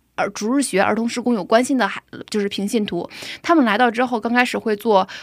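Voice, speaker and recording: With an ordinary speaking voice, a woman speaks at a fairly high pitch with ordinary pitch variation in a very clean recording with a silent background. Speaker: preschool teacher. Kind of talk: testimony.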